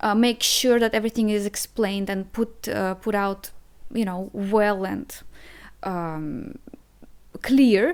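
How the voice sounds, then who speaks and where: A woman with a non-native accent speaks at a very slow pace and a medium pitch, with ordinary pitch variation and long, frequent pauses. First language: Russian. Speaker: language teacher. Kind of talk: online language lesson. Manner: hesitant, many fillers and repeats.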